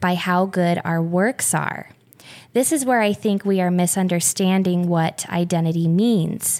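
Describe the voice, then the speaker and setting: In a plain, everyday voice, the speaker keeps a fairly slow pace, fairly even intonation and very even loudness. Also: woman. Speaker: guest, mother of four. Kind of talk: casual conversation about faith and motherhood.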